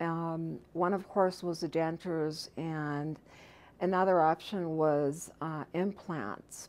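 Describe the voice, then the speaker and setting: Speaking at a very slow pace, a woman uses a fairly low pitch and fairly even intonation. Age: 50s. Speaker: dental patient. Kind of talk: testimonial interview answer. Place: studio.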